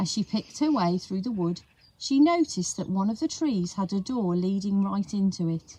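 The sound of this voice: Intonation here is lively. The delivery is an unforced reading voice.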